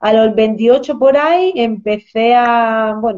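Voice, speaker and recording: With a dark, mellow tone, a woman talks at a fairly high pitch. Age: 30s. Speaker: nutritionist. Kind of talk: interview on a live stream.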